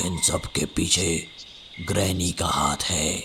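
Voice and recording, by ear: In a cartoonish character voice, a man speaks fairly slowly at a very deep, low pitch over clear background noise.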